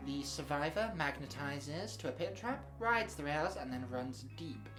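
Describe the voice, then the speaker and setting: A woman's voice at a moderate pace with hardly any pauses, over music in the background. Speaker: tabletop game battle report narrator. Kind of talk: game battle report narration.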